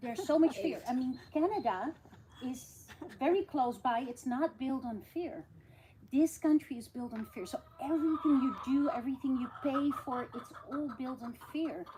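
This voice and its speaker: The speaker talks at a moderate pace with ordinary pitch variation and big swings in loudness. Noticeable background noise runs behind the voice. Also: woman, high pitch for a woman. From Netherlands. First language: Dutch. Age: 60s. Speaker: nurse. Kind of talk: casual chat.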